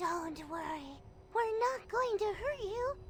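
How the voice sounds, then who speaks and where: Someone does a put-on character voice at a fairly slow pace, with clear background noise behind it. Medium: video game. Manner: friendly, reassuring.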